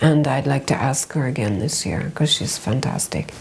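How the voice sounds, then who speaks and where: A woman with an American accent at a fairly slow pace, music playing in the background. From United States. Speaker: fashion journalist and film festival founder. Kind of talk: interview answer.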